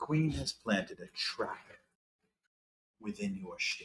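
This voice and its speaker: A man puts on a character voice. He talks at a fairly slow pace. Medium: actual play.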